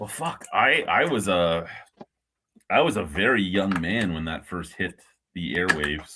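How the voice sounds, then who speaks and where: The speaker has a Canadian accent and a fairly slow pace. Pitch varies in an ordinary way, with long, frequent pauses. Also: man, very deep, low pitch for a man. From Ontario, Canada. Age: 40s. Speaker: beer review streamer. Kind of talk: casual chat.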